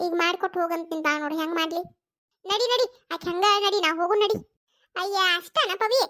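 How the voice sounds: A woman performs a cartoonish character voice at an extremely high pitch. Her pace is moderate.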